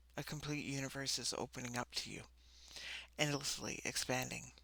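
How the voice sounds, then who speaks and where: A soft-spoken woman talks in a calm tone at a moderate pace. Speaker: spiritual coach and tarot reader. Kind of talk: oracle card reading.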